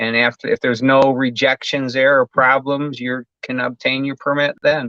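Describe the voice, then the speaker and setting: A man at a medium pitch with an Upper Midwest accent, monotone, flat intonation and a moderate pace. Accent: Upper Midwest American. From Michigan. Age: 60s. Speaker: home builder. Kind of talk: interview. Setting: live stream.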